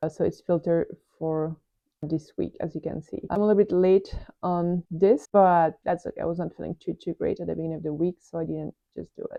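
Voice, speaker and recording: In a French accent, a woman with a fairly low pitch talks at a fairly quick pace with fairly even intonation. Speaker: airline pilot and productivity vlogger. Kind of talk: screen tour tutorial. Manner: casual, hesitant with fillers.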